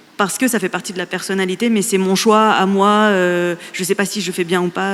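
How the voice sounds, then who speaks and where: A woman speaks at a moderate pace in a plain, everyday voice, medium in pitch with fairly even intonation. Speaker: podcaster. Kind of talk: panel discussion.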